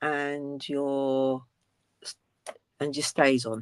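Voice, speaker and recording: The speech is mumbled. It moves at a very slow pace. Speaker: crafting tutorial host. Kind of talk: tutorial. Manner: mumbling; halting.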